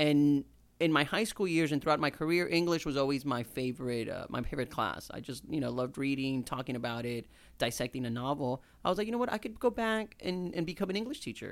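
With lively intonation and a fairly high pitch, a man talks at a very fast pace on a very clean recording with a silent background. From Houston, Texas (born in Mexico, moved at seven). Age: 30s. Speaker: English teacher and chef. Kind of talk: casual chat.

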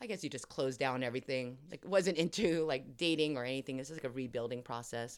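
A woman's very deep, low voice with a Californian accent, on a very clean recording with a silent background. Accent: Californian American. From Los Angeles area. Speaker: podcast co-host, actress. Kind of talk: casual chat.

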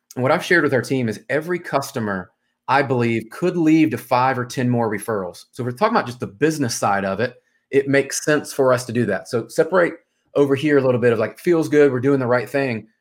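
Someone with an American accent talks at a very fast pace with ordinary pitch variation, in a very clean recording with a silent background. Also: man, medium pitch for a man. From US South, Memphis, Tennessee. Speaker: mortgage sales executive and former pro soccer player. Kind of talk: podcast interview. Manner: casual.

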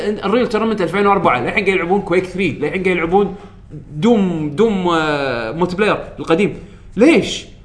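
Against noticeable background noise, a man talks at a moderate pace. He uses lively intonation. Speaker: podcast host. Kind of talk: casual chat. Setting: studio.

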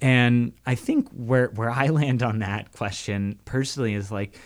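A man with a plain, everyday voice talks at a fairly slow pace and medium pitch, with ordinary pitch variation, on a very clean recording with a silent background. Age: 30s. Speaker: radio host. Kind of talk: casual chat. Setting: home studio.

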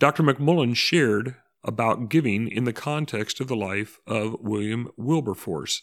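On a very clean recording with a silent background, a man with an ordinary speaking voice talks at a moderate pace, medium pitch and ordinary pitch variation. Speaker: podcast host. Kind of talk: podcast intro and outro.

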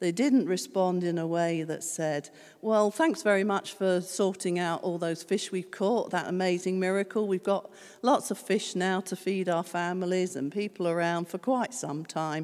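A woman speaks at a medium pitch and a moderate pace with ordinary pitch variation. It is a plain, everyday voice. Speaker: preacher. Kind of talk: sermon. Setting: church.

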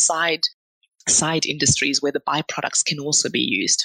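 A woman with a very deep, low pitch and a bright, sharp tone talks at a moderate pace in a dry, close sound with no echo. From Zimbabwe. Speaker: chemical engineer. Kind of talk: casual interview.

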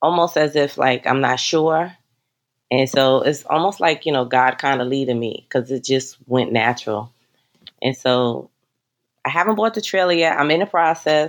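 Her pitch is very deep and low. The woman talks at a moderate pace with ordinary pitch variation. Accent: New York. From New York City (the Bronx). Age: 50s. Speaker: travel business owner. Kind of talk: interview.

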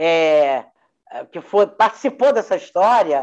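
A woman speaks at a moderate speed, her intonation lively. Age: 80s+. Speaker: human rights activist and retired psychology professor. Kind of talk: interview, personal testimony. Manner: halting, with frequent repetitions.

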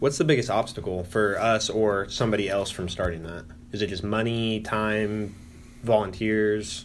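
A man with a General American accent and a plain, everyday voice, fairly low in pitch, with fairly even intonation at a moderate pace. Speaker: podcast host. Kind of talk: casual interview.

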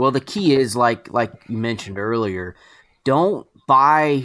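This man speaks with a Southern US accent at a fairly slow pace. His tone is bright and sharp. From Georgia, US South. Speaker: podcast host. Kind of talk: casual chat.

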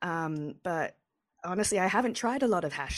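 The recording is very clean, with a silent background. A woman with an English accent talks at a fairly quick pace. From England. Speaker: cannabis journalist and podcast host. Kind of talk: interview.

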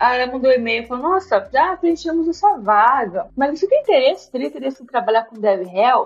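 A woman talks at a fairly quick pace with hardly any pauses, her high pitch showing very wide swings and her loudness shifting widely. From São Paulo, Brazil. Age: 30s. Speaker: software developer. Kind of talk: casual interview.

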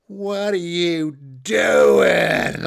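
A man puts on a character voice. It is high-pitched and whiny. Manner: whiny, loud.

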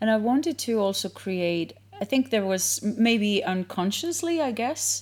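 Fairly high in pitch and lively in intonation, a woman with an Icelandic accent speaks at a fairly slow pace. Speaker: yoga instructor and studio owner. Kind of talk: casual interview. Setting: yoga studio.

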